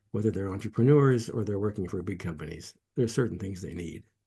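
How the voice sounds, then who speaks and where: The voice has a dark, mellow tone and is somewhat breathy, with an American accent. Its intonation is lively and its pace moderate. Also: man. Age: 80s+. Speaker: meditation teacher and entrepreneur. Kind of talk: interview. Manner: halting, with many restarts.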